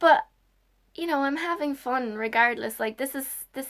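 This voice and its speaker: In an Irish accent, a woman talks at a moderate pace with ordinary pitch variation. The recording is very clean, with a silent background. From Ireland. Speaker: YouTuber. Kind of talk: casual vlog. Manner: halting.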